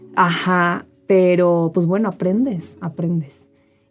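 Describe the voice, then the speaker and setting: This woman's voice sits at a medium pitch. She takes things at a fairly slow pace. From northern Mexico, Saltillo, Coahuila. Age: 30s. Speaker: social media influencer. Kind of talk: casual interview.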